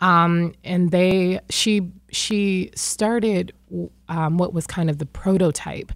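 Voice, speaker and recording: A woman's ordinary speaking voice, fairly low in pitch and fairly even in intonation, with an American accent. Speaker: poet. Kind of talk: radio interview.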